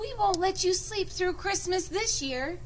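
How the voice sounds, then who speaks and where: A woman uses a put-on character voice, squeaky and extremely high in pitch. She talks at a moderate pace over noticeable background noise. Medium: read story.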